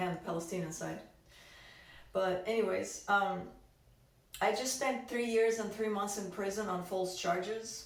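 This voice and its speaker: A woman with a Russian accent at a moderate pace, amid audible room echo and noticeable background noise. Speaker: activist. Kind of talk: testimony. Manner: halting.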